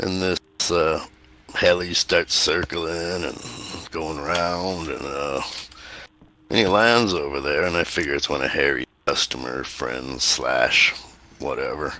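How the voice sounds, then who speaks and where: In a put-on character voice, a man drawls at a fairly slow pace with a very deep, low pitch. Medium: actual play. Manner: casual, drawling, colloquial.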